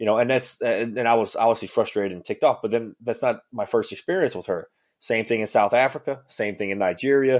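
In a Cajun accent, the speaker talks at a very fast pace with hardly any pauses. The recording is very clean, with a silent background. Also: man. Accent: Cajun Louisiana English. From Louisiana Cajun country (Ville Platte). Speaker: former federal agent and author. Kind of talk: interview.

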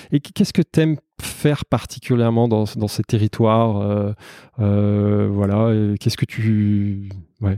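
A man's dark, mellow, fairly low voice, fairly slow and fairly even, dry and close with no echo on a very clean recording with a silent background. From Savoie, France. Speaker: podcast host. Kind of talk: casual interview. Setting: at the guest's home.

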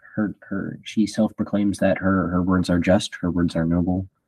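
Against a quiet background, a man with a fairly low pitch and a dark, mellow tone speaks at a fairly slow pace in a monotone, flat intonation. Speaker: host's son, Bible study leader. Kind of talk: Bible study discussion.

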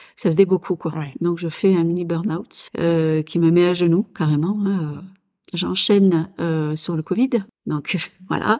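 A woman speaks at a very slow pace with a fairly low pitch and a dark, mellow tone. Her intonation is fairly even, and the recording is very clean with a silent background. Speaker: business owner and military spouse. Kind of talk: personal testimony in a casual interview. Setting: at her home. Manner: hesitant, many filler sounds.

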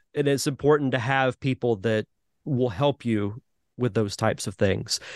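A plain, everyday voice from a man at a moderate pace and medium pitch, with ordinary pitch variation, a dry, close sound with no echo, and a quiet background. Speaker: podcast host. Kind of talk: casual interview chat.

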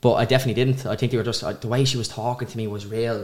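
A man with a Dublin accent at a very fast pace, flat and monotone, on a very clean recording with a silent background. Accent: north Dublin Irish. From Ireland, north Dublin. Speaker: social media vlogger and business owner. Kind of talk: interview.

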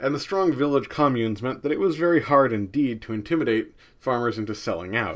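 A man with an American accent, medium-pitched and very fast, in a very clean recording with a silent background. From US Northeast, New Jersey. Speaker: history podcaster. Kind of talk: scripted narration.

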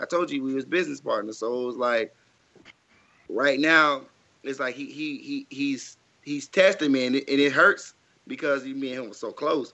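A man with a fairly high pitch speaks at a moderate pace, his ordinary pitch variation broken by long, frequent pauses. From Mississippi, Jackson. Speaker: DJ. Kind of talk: casual chat.

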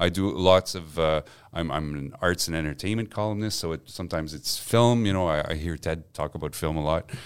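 With a Quebec accent, a man speaks at a fairly quick pace with hardly any pauses, his very deep, low pitch varying in an ordinary way. The recording is very clean, with a silent background. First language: French. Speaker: newspaper journalist and columnist. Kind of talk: casual chat. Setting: studio. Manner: halting.

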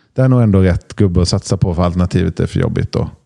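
A man's dark, mellow tone at a very fast pace, with a dry, close sound and no echo. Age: 40s. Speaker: podcast panelist. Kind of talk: casual chat.

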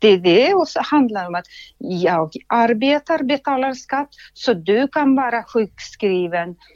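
Speaking very slowly with lively intonation, a woman comes through with a dry, close sound with no echo and a quiet background. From Soviet Union. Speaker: healthcare entrepreneur. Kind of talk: interview.

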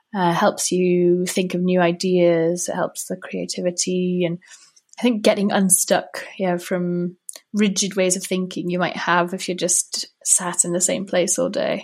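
A woman with a Welsh accent speaks fairly slowly in a monotone, flat intonation. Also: medium pitch for a woman. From North Wales. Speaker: emotional intelligence coach. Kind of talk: interview conversation.

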